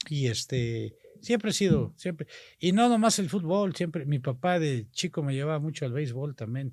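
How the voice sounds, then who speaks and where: Over a very clean recording with a silent background, a man with a plain, everyday voice speaks at a fairly high pitch and a moderate pace with lively intonation. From Mexico, Tampico, Tamaulipas. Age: 60s. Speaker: politician. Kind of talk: casual interview chat.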